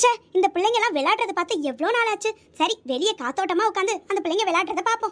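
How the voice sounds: This is a cartoonish character voice from a woman, pitched extremely high. She speaks at a fairly quick pace.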